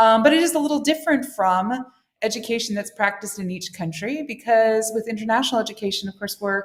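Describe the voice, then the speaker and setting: A woman with an American accent talks very fast in a fairly high pitch with ordinary pitch variation while music plays in the background. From United States. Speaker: international school head. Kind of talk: interview. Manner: halting, many fillers.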